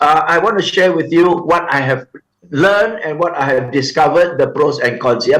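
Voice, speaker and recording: Audible room echo surrounds a man speaking at a moderate pace in a fairly high pitch. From Singapore. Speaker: corporate trainer and seminar speaker. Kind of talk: seminar talk. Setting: remote video presentation to live event.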